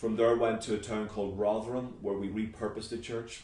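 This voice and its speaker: A man speaks in a Northern Irish accent at a fairly low pitch, somewhat breathy. His intonation is monotone and flat, and room echo is audible. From Northern Ireland, Belfast. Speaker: pastor. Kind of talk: interview.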